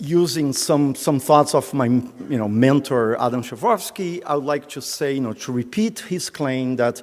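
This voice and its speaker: Here a man talks at a fairly high pitch with ordinary pitch variation. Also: moderate pace. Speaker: professor. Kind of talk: lecture. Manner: hesitant, many fillers.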